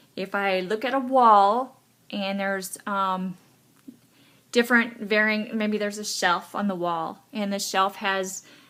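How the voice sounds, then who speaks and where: Loud and bright, a woman's sharp voice sits at a fairly high pitch with ordinary pitch variation. She speaks at a fairly slow pace on a very clean recording with a silent background. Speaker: vlogger sharing personal story of legal blindness. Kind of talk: personal testimony monologue. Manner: halting, many fillers.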